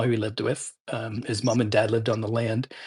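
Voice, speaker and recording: A somewhat breathy man in a Canadian accent, at a fairly quick pace over a quiet background. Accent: Canadian accent, noticeable. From Ontario, Canada (Owen Sound). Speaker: writer and podcast guest. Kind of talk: casual chat. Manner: halting, many fillers.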